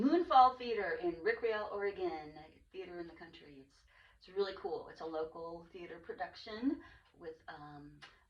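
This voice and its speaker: At a moderate pace, a woman with a normal speaking voice talks in a medium pitch, her intonation lively and her loudness swinging widely. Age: 60s. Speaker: podcast host. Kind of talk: casual chat.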